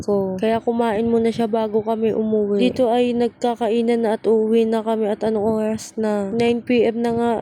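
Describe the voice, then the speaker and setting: Soft-spoken, a woman talks at a moderate pace with a fairly high pitch and monotone, flat intonation. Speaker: vlogger. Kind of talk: voice-over narration. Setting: cemetery at night. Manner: casual.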